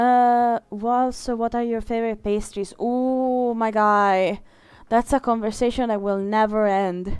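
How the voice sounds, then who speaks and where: Her voice is fairly high, with an Italian accent and a monotone, flat intonation at a fairly slow pace. The recording is very clean, with a silent background. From Italy. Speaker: streamer and illustrator. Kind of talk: casual live-stream chat. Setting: live stream while drawing.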